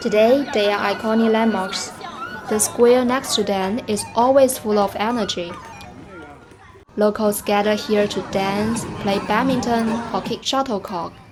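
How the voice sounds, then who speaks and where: A woman with a Chinese accent, a fairly high pitch, fairly even intonation and a fairly slow pace, amid noticeable background noise. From China. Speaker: travel guide. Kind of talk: travel vlog narration.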